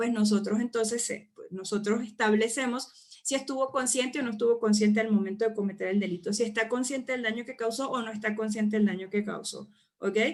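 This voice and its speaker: Talking at a fairly quick pace, a woman has a plain, everyday voice, fairly high in pitch with ordinary pitch variation. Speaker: psychology lecturer. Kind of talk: online lecture. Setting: live online class with chat.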